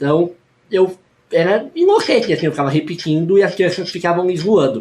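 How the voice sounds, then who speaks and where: A man speaks at a fairly quick pace. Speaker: youtuber and teacher. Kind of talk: personal vlog testimony.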